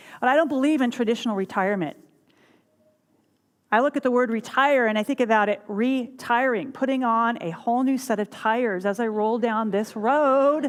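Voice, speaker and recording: A woman's high, animated voice with ordinary pitch variation at a moderate pace. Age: 60s. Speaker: minister. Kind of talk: sermon.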